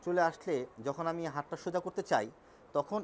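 Light background noise sits behind a man whose high-pitched voice shows ordinary pitch variation. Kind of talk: medical explainer to camera. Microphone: lapel.

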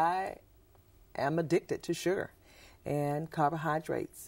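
A moderate pace with a Southern US accent. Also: woman. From US South, Mississippi. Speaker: school principal, nutrition advocate. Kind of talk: interview. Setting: studio. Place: studio.

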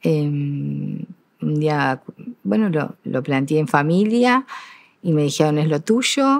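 A woman with a very deep, low pitch, very slow pace and lively intonation, in dry sound with no echo. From Uruguay. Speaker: retired school teacher and principal; retired school teacher. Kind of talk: interview. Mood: calm, reflective, proud. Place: stage. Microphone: lapel.

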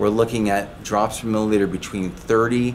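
Light background noise sits behind the speaker, a man. He talks at a moderate pace with a fairly low pitch. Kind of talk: explainer talk to camera. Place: shop.

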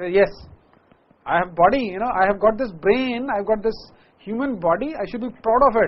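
Pitch shows ordinary variation. The pace stays moderate. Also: man. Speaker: motivational speaker and teacher. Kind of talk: motivational speech to students, Hindi-English mix, lecture-like with jokes. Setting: live with audience of students. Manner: energetic, emphatic, repeats key phrases. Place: classroom. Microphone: lapel.

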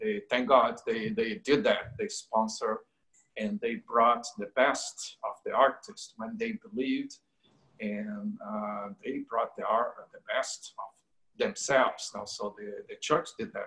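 A man with a Brazilian Portuguese accent at a very slow pace, with big swings in loudness, against a quiet background. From Brazil, Rio de Janeiro. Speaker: painter. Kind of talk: interview. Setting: video call. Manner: halting. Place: home room. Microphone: video call.

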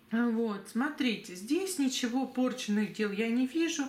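A woman talks fairly slowly with lively intonation. Audible echo hangs in the room. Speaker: tarot reader and psychic. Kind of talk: tarot reading video monologue.

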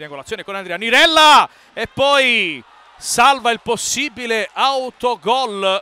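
In a dry, close sound with no echo, a man uses a raised, projected voice at an extremely high pitch with big swings in loudness. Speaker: sports commentator. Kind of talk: live sports commentary, futsal match. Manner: fast, rapid-fire play-by-play, excited; repeats player names in bursts, rising intensity on chances and goals.

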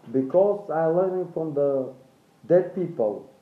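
A man speaks at a fairly slow pace, and audible room echo surrounds his voice. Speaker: vlogger. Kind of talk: casual vlog chat. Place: home room. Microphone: phone near.

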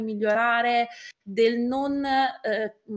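A woman speaks at a high pitch for a woman, with ordinary pitch variation, against a quiet background. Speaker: guest. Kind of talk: interview answer. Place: home room.

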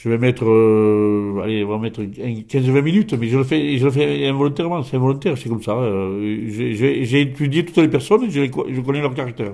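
A man speaks at a moderate pace with hardly any pauses. His pitch variation is ordinary, and the background is quiet. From France, Gers; France. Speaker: folk healer; interviewee. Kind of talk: interview; interview answer. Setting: at his home. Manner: halting, many repetitions. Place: home room. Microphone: handheld.

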